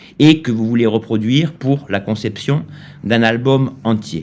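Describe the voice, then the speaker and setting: A man speaks at a very slow pace, his medium pitch shaped by lively intonation. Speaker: YouTuber teaching AI music tools. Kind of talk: tutorial. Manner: hesitant, many filler sounds.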